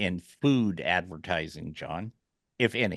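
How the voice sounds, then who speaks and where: Against a quiet background, a man with a bright, sharp tone and vocal fry swings widely in pitch, his sound dry and close with no echo. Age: 60s. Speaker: radio show host. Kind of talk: casual chat.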